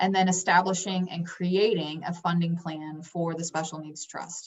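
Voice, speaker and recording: A woman speaks in a somewhat breathy voice. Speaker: financial advisor. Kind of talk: online workshop presentation. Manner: fast.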